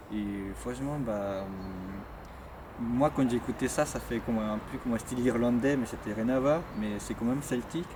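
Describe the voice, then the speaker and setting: Hardly pausing, a man talks at a fairly slow pace in a medium pitch. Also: ordinary pitch variation. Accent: Spanish. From Chile. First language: Spanish (speaking French). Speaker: Chilean immigrant, former student. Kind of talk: interview testimony. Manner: hesitant, many fillers.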